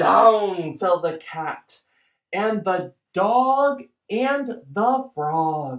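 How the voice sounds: A natural reading voice with lively intonation plays over a quiet background.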